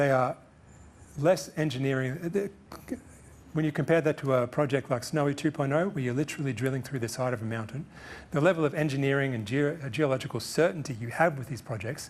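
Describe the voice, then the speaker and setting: An Australian-accented man talks at a very fast pace. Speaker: guest speaker on energy policy. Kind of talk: press conference Q&A answers. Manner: some hesitations and self-corrections.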